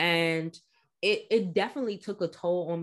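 A woman with a plain, everyday voice talks at a fairly slow pace and fairly low pitch. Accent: American. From Washington, D.C. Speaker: psychologist and mental health advocate. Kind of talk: podcast interview.

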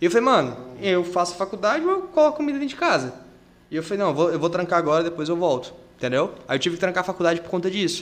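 A man speaks very fast in a high pitch with lively intonation. Noticeable background noise runs underneath. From Porto Velho, Rondônia, Brazil. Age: 20s. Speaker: jiu-jitsu athlete and social project instructor. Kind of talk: casual chat.

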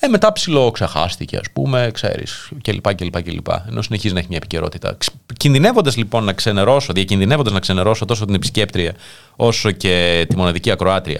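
A man's normal speaking voice, fairly low in pitch, at a fairly quick pace. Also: ordinary pitch variation. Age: 30s. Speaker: internet radio host. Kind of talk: casual chat. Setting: studio.

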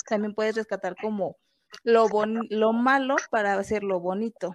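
Recorded with a dry, close sound and no echo, a woman with a Mexican accent speaks at a fairly high pitch. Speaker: podcast co-host. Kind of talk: casual chat.

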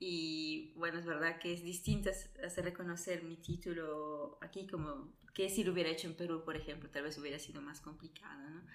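Speaking at a moderate pace with fairly even intonation, a woman is heard in a room with audible echo. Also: fairly low pitch for a woman, big swings in loudness. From Italy, born in Peru. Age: 20s. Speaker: nurse. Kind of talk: interview.

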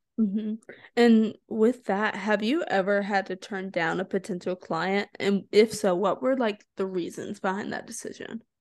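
A woman speaks in a normal speaking voice at a medium pitch with ordinary pitch variation. Her pace is moderate, and the background is quiet. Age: young. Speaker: podcast host. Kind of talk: interview conversation.

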